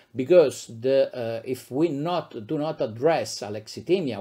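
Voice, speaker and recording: A man with a medium pitch and an Italian accent at a fairly slow pace, in a very clean recording with a silent background. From Italy, Abruzzo region. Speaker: psychiatrist, professor. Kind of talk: lecture. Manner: halting, many fillers.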